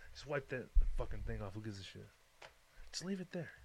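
With lively intonation and a fairly quick pace, a man talks in a somewhat breathy voice. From Detroit. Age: 30s. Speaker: podcast host. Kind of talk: casual chat.

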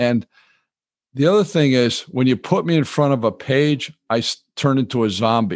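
This man has a plain, everyday voice at a medium pitch, moving at a moderate pace with lively intonation and very even loudness. The sound is dry and close with no echo, and the background is quiet. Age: 60s. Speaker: retired financial advisor and author. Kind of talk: interview. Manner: relaxed, chuckling.

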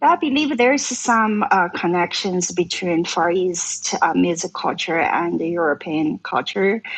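A woman with a Chinese accent speaks at a medium pitch with lively intonation. Her pace is fairly slow, with hardly any pauses. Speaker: traditional Chinese musician and actress. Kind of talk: casual interview chat.

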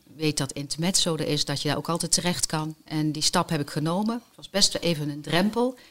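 A woman's voice sits very deep and low in pitch. She talks at a moderate pace with ordinary pitch variation. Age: 50s. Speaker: cancer survivor and volunteer hostess. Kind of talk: personal testimony. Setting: studio.

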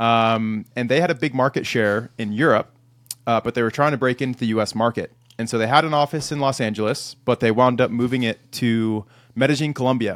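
A man with a plain, everyday voice and medium pitch speaks at a fairly quick pace with fairly even intonation, the sound dry and close with no echo on a very clean recording with a silent background. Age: 30s. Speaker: sales leader. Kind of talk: interview. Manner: casual, many fillers.

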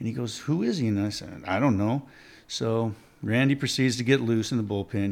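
A man's plain, everyday voice at a fairly quick pace, with fairly even intonation, on a very clean recording with a silent background. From Oregon, US. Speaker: former baseball player. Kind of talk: casual chat.

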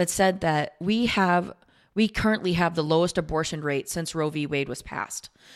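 A woman with a plain, everyday voice talks at a moderate pace, her pitch fairly low with ordinary variation. The recording is very clean, with a silent background. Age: 40s. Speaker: podcast guest, host's partner. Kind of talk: casual chat.

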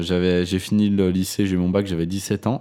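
A man's dark, mellow voice at a fairly low pitch, in a very clean recording with a silent background. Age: 20s. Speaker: video production entrepreneur. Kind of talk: casual chat.

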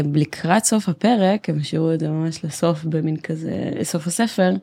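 A woman talks at a fairly slow pace in a fairly low pitch. The recording is very clean, with a silent background. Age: 20s. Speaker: software developer. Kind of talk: casual interview chat. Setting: recording studio, no headphones.

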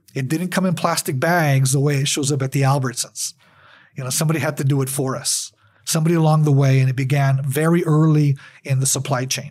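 A man with an American accent talks at a very fast pace in a fairly high, somewhat breathy voice with a monotone, flat delivery. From US Southwest, El Paso, Texas. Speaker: journalism professor and photographer. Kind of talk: interview.

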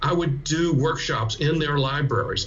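The speaker talks at a moderate pace with an American accent and ordinary pitch variation. Audible room echo surrounds the voice. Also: man. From US South, South Carolina. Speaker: media literacy educator and author. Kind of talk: interview.

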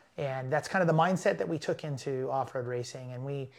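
Over a silent background on a very clean recording, a man speaks at a moderate pace with fairly even intonation. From California. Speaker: off-road racing driver. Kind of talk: casual interview. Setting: in person.

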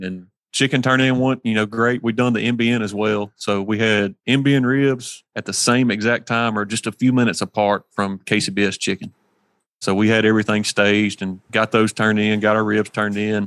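A man speaks at a fairly quick pace with a Mississippi accent, his pitch fairly low. His intonation is flat and monotone, and the sound is dry and close with no echo. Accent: Mississippi Southern US. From US South, Hernando, Mississippi. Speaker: competition barbecue cook. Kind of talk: casual interview chat. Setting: remote from a shop.

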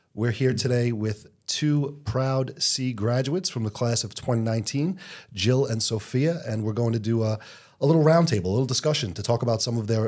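Heard in a very clean recording with a silent background, a man uses a normal speaking voice at a medium pitch. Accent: American. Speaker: school podcast host. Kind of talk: casual interview.

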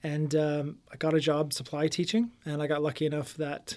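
An unremarkable speaking voice with a Canadian accent proceeds at a fairly slow pace in a very clean recording with a silent background. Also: man. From Windsor, Ontario, Canada. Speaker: real estate agent. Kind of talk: casual interview.

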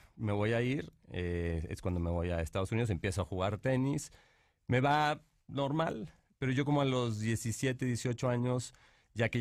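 On a very clean recording with a silent background, a man uses a plain, everyday voice at a medium pitch with lively intonation. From Mexico, Monterrey. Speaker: painter and entrepreneur. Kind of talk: interview.

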